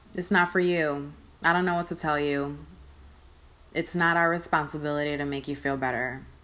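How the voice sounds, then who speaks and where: A woman is talking. She uses ordinary pitch variation. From US Northeast, Connecticut (Hartford area). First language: Spanish. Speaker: solo podcaster. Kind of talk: casual monologue. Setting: sitting on bed in own room.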